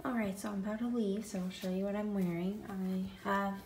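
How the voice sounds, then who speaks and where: In an American accent, a woman speaks with a medium pitch and a somewhat breathy quality. Audible room echo is present. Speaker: college student vlogger. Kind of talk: casual vlog.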